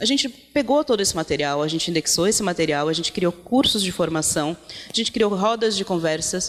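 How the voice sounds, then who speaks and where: A woman's pitch swings very widely while noticeable background noise carries on behind her. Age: 30s. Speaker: feminist activist, project founder. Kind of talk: panel talk. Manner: halting, with fillers.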